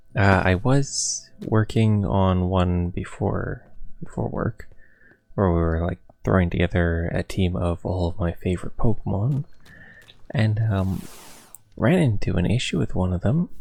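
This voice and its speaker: Against a very clean recording and silent background, a man with a very deep, low pitch and lively intonation talks at a fairly slow pace with long, frequent pauses. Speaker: gaming YouTuber. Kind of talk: gameplay commentary. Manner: casual, hesitant with fillers.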